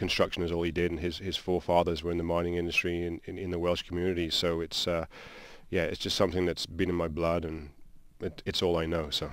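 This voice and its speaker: Speaking with a British accent, a man talks at a very fast pace in a very deep, low voice. His intonation is monotone and flat, and the recording is very clean with a silent background. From England, Shropshire (Shrewsbury). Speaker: construction company founder. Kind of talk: radio interview. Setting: radio studio. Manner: halting, many repetitions.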